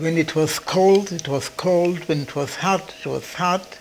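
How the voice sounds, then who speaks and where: There is noticeable background noise behind a man's voice. He speaks high in pitch at a fairly slow pace. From Poland. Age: 80s+. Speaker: Holocaust survivor. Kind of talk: testimony.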